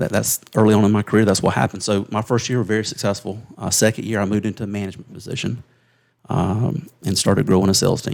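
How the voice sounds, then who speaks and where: Here is a man with a South Carolina accent, speaking at a very fast pace. His fairly low pitch shows ordinary variation. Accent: Southern US (South Carolina). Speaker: insurance agency leader. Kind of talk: interview storytelling.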